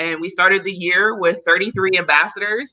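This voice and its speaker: A woman with an American accent and a bright, sharp tone. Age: 30s. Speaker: community organizer. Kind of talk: interview.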